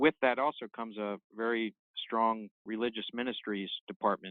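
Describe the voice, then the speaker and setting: The voice is an ordinary speaking voice with an American accent. It moves at a moderate pace with fairly even intonation. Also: man. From Maryland/southern Pennsylvania, US. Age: 60s. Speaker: naval officer. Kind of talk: interview.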